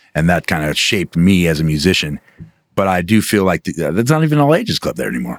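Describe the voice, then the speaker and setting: A man speaks at a very fast pace in a very deep, low voice, with very wide pitch swings. The sound is dry and close, with no echo. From Alaska, Anchorage. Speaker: metal band vocalist. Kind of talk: casual interview chat.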